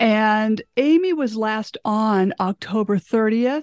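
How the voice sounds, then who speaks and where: The background is quiet. A woman speaks with a dry, close sound that has no echo. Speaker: podcast host. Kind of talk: interview.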